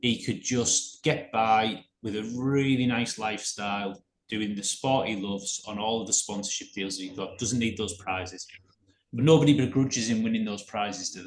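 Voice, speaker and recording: With a British accent, a man speaks at a medium pitch and a moderate pace, showing ordinary pitch variation and big swings in loudness. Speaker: podcast co-host. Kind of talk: casual podcast discussion.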